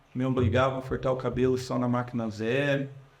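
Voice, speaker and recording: A somewhat breathy man at a fairly slow pace, with audible room echo. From Brazil, Curitiba. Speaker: politician. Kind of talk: public talk. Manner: casual, conversational.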